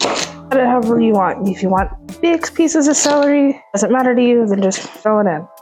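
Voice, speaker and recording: A soft-spoken woman talks at a moderate pace and a fairly high pitch. Her pitch swings very widely, with music in the background. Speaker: cooking video host. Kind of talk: cooking tutorial. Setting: home kitchen. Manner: quiet, soft-spoken; casual, chatty.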